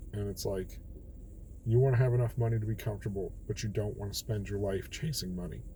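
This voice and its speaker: Talking at a very fast pace, a man with a fairly low, dark, mellow, somewhat breathy voice uses ordinary pitch variation amid audible room echo. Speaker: daily bible reading vlogger. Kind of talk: casual bible reflection monologue. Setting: in a car. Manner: talking a bit low.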